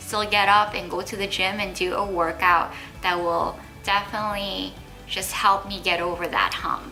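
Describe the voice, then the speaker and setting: Music plays behind a woman's voice. She talks at a fairly slow pace with monotone, flat intonation. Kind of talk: casual talk to camera. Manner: sincere, earnest, open.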